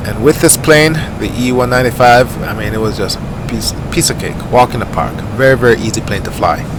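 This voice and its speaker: Amid noticeable background noise and audible room echo, the speaker talks in a relaxed tone at a fairly quick pace, with hardly any pauses and ordinary pitch variation. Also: man, medium pitch for a man. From Jamaica. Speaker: flight sim YouTuber. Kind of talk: gameplay commentary. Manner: casual, relaxed.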